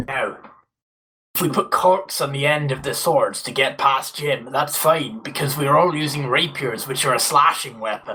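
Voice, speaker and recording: A man in a put-on character voice, fairly high in pitch, at a moderate pace. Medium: audio drama.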